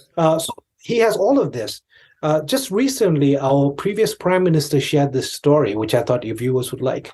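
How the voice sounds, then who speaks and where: A man with a dark, mellow tone and fairly high pitch speaks at a moderate pace, somewhat breathy, his pitch swinging very widely. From India, Tibetan exile community in Darjeeling. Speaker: Tibetan commentator, podcast guest. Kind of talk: interview conversation. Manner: halting, many fillers.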